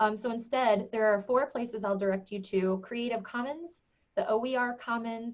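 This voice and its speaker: Fairly high-pitched speech from a woman, its pitch varying in an ordinary way. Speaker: education technology director and presenter. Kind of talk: webinar presentation. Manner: fast.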